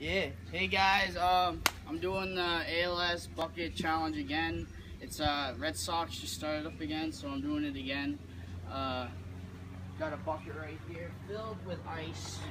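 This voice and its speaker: A man's fairly low-pitched voice at a fairly slow pace, with noticeable background noise. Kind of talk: casual vlog chat. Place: garden. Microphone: camera far.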